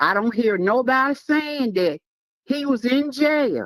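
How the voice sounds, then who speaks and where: Recorded dry and close with no echo, a woman speaks very slowly with very wide pitch swings. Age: 60s. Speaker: caller. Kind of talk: call-in opinion on sports.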